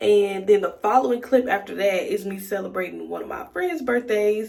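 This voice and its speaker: Noticeable background noise behind a woman speaking at a moderate pace in an American accent. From Texas. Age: 20s. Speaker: lifestyle vlogger. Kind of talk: casual vlog intro to camera.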